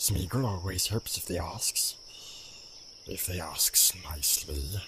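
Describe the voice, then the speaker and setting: A put-on character voice from a man, very deep and low in pitch, at a fairly slow pace, with hissing and clear background noise. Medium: read story. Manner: speaks of himself in third person, repeats words.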